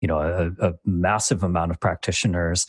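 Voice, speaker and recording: A man with an American accent speaks in a very deep, low voice, recorded dry and close with no echo. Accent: plain American. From Michigan, US. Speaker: design manager. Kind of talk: interview. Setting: video call. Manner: halting, many fillers.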